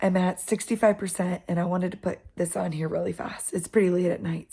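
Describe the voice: A raspy, whispering put-on character voice at a fairly quick pace. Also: woman.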